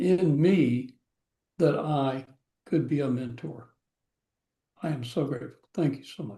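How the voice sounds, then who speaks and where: A man speaks in a dark, mellow, somewhat breathy tone at a fairly high pitch. His pace is very slow and his pitch variation ordinary. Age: 70s. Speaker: course participant. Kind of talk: testimony.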